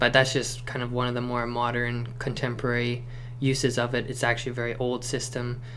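Light background noise under a male voice, moderate pace. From Cossack family, Eastern Europe. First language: non-English. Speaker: security industry worker. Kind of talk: casual talk to camera. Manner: hesitant, many fillers. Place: home room. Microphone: camera far.

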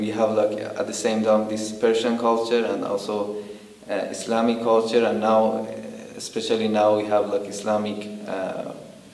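A man's fairly low voice in a room with audible echo. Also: moderate pace. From Iran. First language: Persian. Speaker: documentary interviewee. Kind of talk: interview answer. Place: home room.

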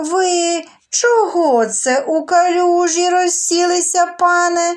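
Taking a very slow pace, a woman speaks in a put-on character voice. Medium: read story. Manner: dry, ironic.

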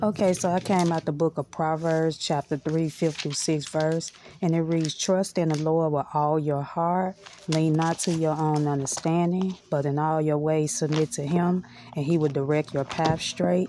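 A woman's very deep, low voice at a moderate pace, with fairly even intonation, very even loudness, light background noise and a dry sound with no echo. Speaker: lifestyle vlogger. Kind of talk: casual vlog chat. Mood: calm, reflective. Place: home room. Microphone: phone near.

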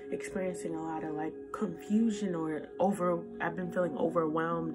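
A woman talks at a moderate pace. There is clear music behind her voice. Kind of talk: encouraging devotional vlog talk. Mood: earnest, encouraging. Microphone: phone near.

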